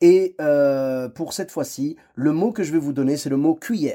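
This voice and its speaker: A man's fairly high-pitched voice with a dark, mellow tone, on a very clean recording against a silent background. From Clermont-Ferrand, France. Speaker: podcast host and comedian. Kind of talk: casual chat; podcast intro.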